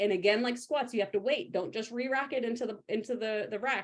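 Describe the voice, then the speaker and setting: A woman speaks in an animated tone. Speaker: powerlifting coach. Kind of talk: live stream tutorial. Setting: live video stream with screen share. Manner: fast.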